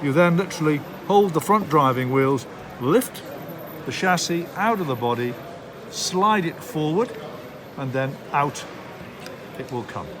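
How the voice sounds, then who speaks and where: Over noticeable background noise, someone speaks at a fairly slow pace with lively intonation and long, frequent pauses. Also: man, fairly high pitch for a man. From Darlington, England. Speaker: model railway live steam instructor. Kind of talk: hobby tutorial demonstration. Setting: model rail show.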